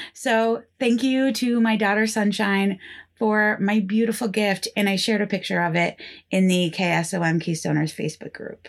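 With an ordinary speaking voice and an American accent, a woman talks at a moderate pace with ordinary pitch variation against a quiet background. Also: medium pitch for a woman. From northeastern Pennsylvania. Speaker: podcast host. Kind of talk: scripted storytelling podcast narration, casual.

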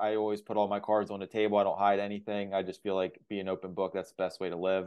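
A normal speaking voice from a man, fairly low-pitched, at a fairly quick pace. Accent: American. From Pennsylvania. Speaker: digital marketing agency owner. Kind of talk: interview.

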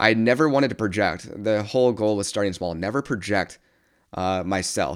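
With an American accent, the speaker goes at a moderate pace with ordinary pitch variation in a very clean recording against a silent background. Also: man, fairly low pitch for a man. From US Midwest, South Bend, Indiana. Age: 20s. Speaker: podcast host, entrepreneur. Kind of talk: solo monologue.

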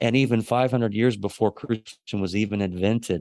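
A man speaks in a normal speaking voice at a medium pitch, with fairly even intonation and a fairly quick pace. The sound is dry and close with no echo, over a quiet background. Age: 40s. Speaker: pastor. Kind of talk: casual chat.

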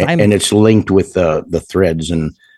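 Recorded with a dry, close sound with no echo, a man speaks at a very deep, low pitch with ordinary pitch variation. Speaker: podcast co-host.

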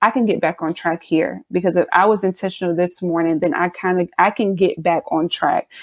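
A woman speaks at a medium pitch with an American accent, in a plain, everyday voice. Her intonation stays fairly even. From South Carolina. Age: 30s. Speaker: business owner. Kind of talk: casual interview.

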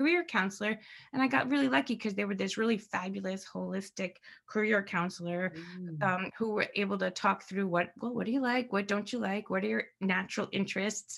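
This woman has a normal speaking voice and an American accent, pitched in the medium range. She talks at a fairly quick pace with lively intonation over a quiet background. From New Jersey / New York area. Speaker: psychotherapist and mindset coach. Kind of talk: interview.

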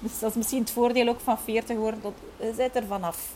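Noticeable background noise runs behind the recording. A woman talks at a fairly quick pace. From Flanders, Belgium (Kortrijk, West Flanders). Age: 30s. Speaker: tour guide and entrepreneur. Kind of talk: casual interview conversation. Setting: at home with window open.

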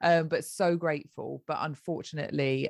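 A woman with a British accent at a fairly slow pace. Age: 40s. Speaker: mother sharing fertility journey. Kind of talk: podcast interview.

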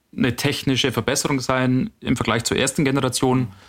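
This man has a normal speaking voice at a medium pitch. He talks at a moderate pace. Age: 30s. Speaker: hydrogen vehicle test engineer and podcaster. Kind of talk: casual expert discussion.

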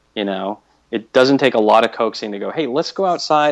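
This man has an unremarkable speaking voice at a medium pitch. He talks at a fairly quick pace with lively intonation. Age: 50s. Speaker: fitness podcaster. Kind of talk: casual interview.

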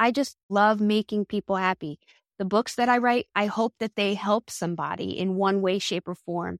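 A woman's unremarkable speaking voice at medium pitch with an American accent and fairly even intonation, dry and close with no echo, on a very clean recording with a silent background. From New Jersey, US. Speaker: home baker and food writer. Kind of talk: interview.

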